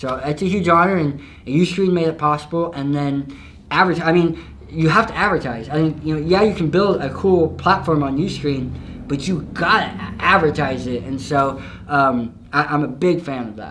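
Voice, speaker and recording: With noticeable background noise, a man speaks at a moderate pace and a fairly high pitch, with ordinary pitch variation and big swings in loudness. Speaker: motivational speaker, pastor and online video creator. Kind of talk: interview.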